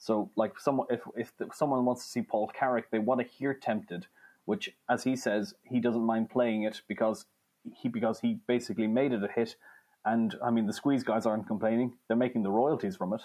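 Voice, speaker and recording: A man at a medium pitch and moderate pace speaks in a dark, mellow tone, with ordinary pitch variation and very even loudness, over a quiet background. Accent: Irish. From Ireland. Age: 20s. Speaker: music journalist and author. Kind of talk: interview. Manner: halting, with frequent repetitions.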